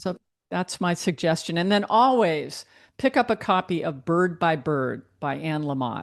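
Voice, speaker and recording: A woman with an ordinary speaking voice talks in a fairly low pitch at a fairly slow pace. Her intonation is lively, and the background is quiet. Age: 60s. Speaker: book editor and author. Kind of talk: interview.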